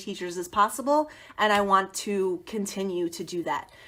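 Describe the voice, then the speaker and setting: Bright, sharp tone from a woman with an American accent. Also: very clean recording, silent background. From US Northeast. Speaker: teacher turned education consultant. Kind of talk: live stream talk to teachers.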